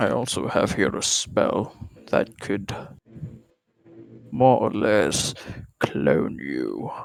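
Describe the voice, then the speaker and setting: Using a put-on character voice, a man with a fairly low pitch speaks at a very slow pace with long, frequent pauses. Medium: actual play. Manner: pompous, condescending.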